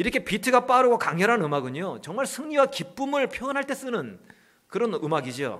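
A man speaks at a fairly quick pace with an extremely high pitch and very wide pitch swings. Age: 40s. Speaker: pastor. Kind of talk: sermon. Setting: church.

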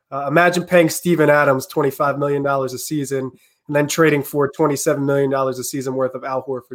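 An unremarkable speaking voice with fairly even intonation comes through in a very clean recording with a silent background. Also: man. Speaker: college student basketball analyst. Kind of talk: casual chat. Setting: live stream.

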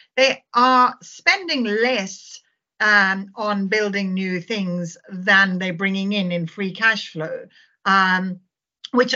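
A woman with a South African accent, medium in pitch, with ordinary pitch variation. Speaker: fund manager. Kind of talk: casual chat.

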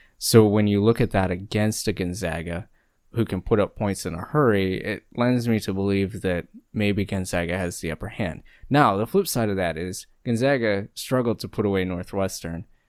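With an American accent, a man talks in a normal speaking voice at a fairly low pitch, keeping a moderate pace and ordinary pitch variation. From US Midwest, Ohio. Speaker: sports podcast co-host. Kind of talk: casual chat.

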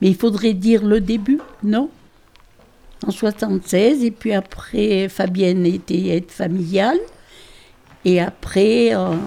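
A woman speaks at a very slow pace in a dark, mellow tone with ordinary pitch variation. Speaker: farmer. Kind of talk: interview.

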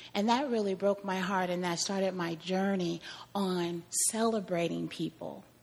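A woman speaks in an ordinary speaking voice with an American accent. Her pitch is medium and her intonation fairly even. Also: moderate pace. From Kansas. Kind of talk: testimony.

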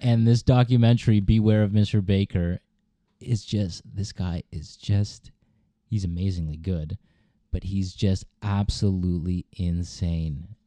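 A man with a dark, mellow tone talks fairly slowly at a fairly low pitch. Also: ordinary pitch variation, quiet background. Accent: Canadian. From Cambridge, Ontario, Canada. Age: 20s. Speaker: visual artist. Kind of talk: casual chat.

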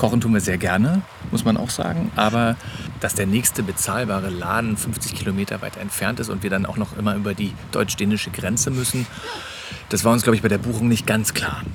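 Amid noticeable background noise, a man with a fairly low pitch talks at a fairly quick pace. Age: 30s. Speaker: podcast host, father of ten. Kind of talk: casual chat. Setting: on holiday on a Danish island.

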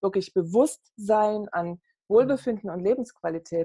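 Her voice has a dark, mellow tone and a medium pitch. The woman talks at a moderate pace with ordinary pitch variation. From East Germany (GDR), Saxony. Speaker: network marketing entrepreneur. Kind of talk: interview.

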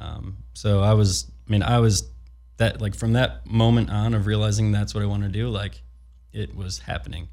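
Somewhat breathy and dark, mellow in tone, a man's fairly low voice swings very widely in pitch at a moderate pace. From US Midwest, Chicago. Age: 30s. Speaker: skateboard filmer. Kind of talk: casual interview.

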